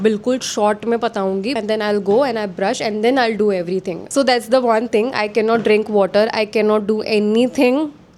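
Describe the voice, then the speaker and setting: With a plain, everyday voice, a woman talks at a moderate pace, her pitch fairly high and her intonation fairly even. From India, Gujarat (Vadodara). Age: 20s. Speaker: lifestyle vlogger. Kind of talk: casual Q&A chat. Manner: chatty, Hindi-English code-switching.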